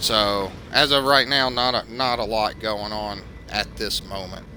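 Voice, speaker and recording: Speaking in a Southern US accent, a man with a fairly low pitch shows ordinary pitch variation. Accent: Southern US, noticeable. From US South. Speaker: video game streamer. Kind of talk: live gameplay commentary. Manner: hesitant, many fillers.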